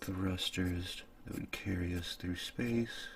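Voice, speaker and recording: A man's very deep, low voice, somewhat breathy, at a very slow pace with fairly even intonation. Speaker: ASMR content creator. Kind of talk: improvised ASMR storytelling while drawing, sleep aid. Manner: casual, laid-back, musing aloud.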